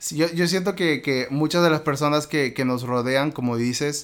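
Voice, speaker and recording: In a Peruvian accent, a man speaks at a moderate pace with a fairly high pitch and ordinary pitch variation. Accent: Peruvian Spanish (Lima). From Peru, Lima. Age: 30s. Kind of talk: interview testimony. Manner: halting.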